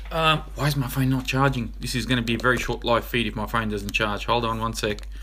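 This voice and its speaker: A man speaks with an Australian accent. Background noise is noticeable. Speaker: RC hobby YouTuber. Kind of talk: live stream Q&A. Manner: fast.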